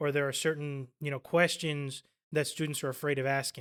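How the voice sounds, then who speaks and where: A man with a Spanish accent speaks at a fairly quick pace and a fairly high pitch. His tone is bright and sharp, on a very clean recording with a silent background. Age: 30s. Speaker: college student. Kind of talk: interview.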